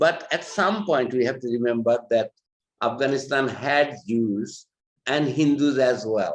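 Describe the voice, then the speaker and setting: Speaking fairly slowly with a Bangladeshi accent, a man uses a medium pitch and ordinary pitch variation. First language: Bengali. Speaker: human rights advocate. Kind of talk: panel talk. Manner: halting.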